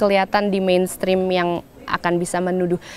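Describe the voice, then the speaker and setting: At a moderate pace, a woman talks against noticeable background noise. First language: stronger in English than Indonesian (speaking Indonesian). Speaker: poet and performer. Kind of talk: interview. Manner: hesitant, many fillers.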